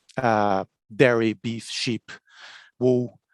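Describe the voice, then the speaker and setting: A man with a Brazilian accent speaks at a very slow pace with fairly even intonation, over a quiet background. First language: Portuguese. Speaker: agricultural researcher. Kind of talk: conference presentation. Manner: halting, many fillers.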